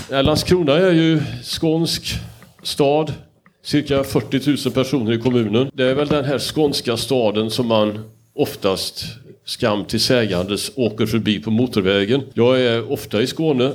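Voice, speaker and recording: A man with an ordinary speaking voice at medium pitch, fairly slow, with very even loudness and ordinary pitch variation. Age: 60s. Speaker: moderator. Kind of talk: panel discussion.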